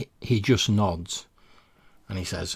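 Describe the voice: A man speaks at a low pitch with a husky, rough edge and vocal fry. His pace is slow. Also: ordinary pitch variation.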